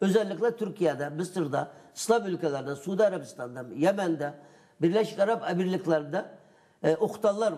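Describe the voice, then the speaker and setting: Against a quiet background, a man with a high pitch and a dark, mellow tone speaks at a moderate pace with lively intonation. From East Turkestan (Yarkand), Uyghur; East Turkestan. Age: 60s. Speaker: activist and editor on East Turkestan; guest. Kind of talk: TV interview; interview answer. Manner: hesitant, many fillers. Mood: serious, earnest. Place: studio. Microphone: lapel.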